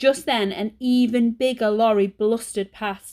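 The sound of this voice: An unforced reading voice carries the words. Its intonation stays fairly even.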